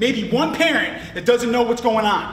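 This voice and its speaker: A man with an American accent talks at a high pitch in an animated tone. Noticeable background noise and audible room echo are present. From Clifton Park, upstate New York. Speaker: recovering addict and peer support specialist. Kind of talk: testimony.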